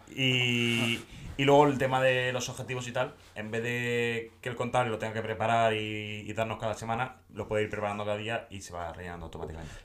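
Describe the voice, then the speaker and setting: A man at a fairly quick pace, ordinary pitch variation, noticeable background noise. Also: medium pitch for a man, hardly any pauses. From Catalonia, Tarragona area. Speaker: podcast co-host. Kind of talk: casual chat.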